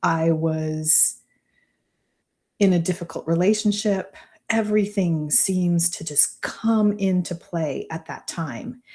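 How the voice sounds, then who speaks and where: The recording is very clean, with a silent background. A woman with a fairly low pitch and a dark, mellow, somewhat breathy tone speaks at a very slow pace. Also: ordinary pitch variation. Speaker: business mentor. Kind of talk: live stream talk. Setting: live stream.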